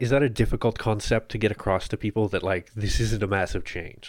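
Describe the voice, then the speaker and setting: In a Canadian accent, an unremarkable speaking voice moves at a fairly quick pace with ordinary pitch variation, recorded very cleanly against a silent background. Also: man. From Ottawa, Canada. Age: 30s. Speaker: podcast host, newsletter editor. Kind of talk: interview; scripted intro.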